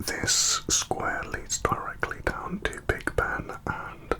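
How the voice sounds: A man whispering.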